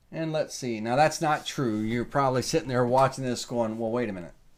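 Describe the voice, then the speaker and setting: Here is a Southern US accent with ordinary pitch variation. The recording is very clean, with a silent background. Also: man. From US South. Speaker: woodworking software instructor. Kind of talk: tutorial. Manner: casual, thinking aloud with fillers.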